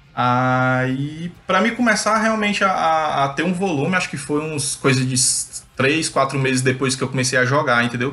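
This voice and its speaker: A man speaks at a moderate pace with hardly any pauses, his bright, sharp tone carried by lively intonation. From Brazil, Fortaleza, Ceará. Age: 30s. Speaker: professional card game player. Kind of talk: casual interview chat.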